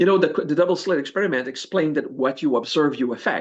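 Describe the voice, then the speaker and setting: A man with a French accent speaks at a fairly high pitch with ordinary pitch variation. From France. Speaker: spiritual teacher. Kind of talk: interview. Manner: halting.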